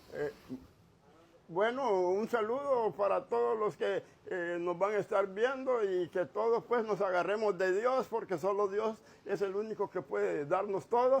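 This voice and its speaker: A man's high-pitched voice at a fairly slow pace, with ordinary pitch variation and a quiet background. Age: 80s+. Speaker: drum maker and craftsman. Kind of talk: interview. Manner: halting.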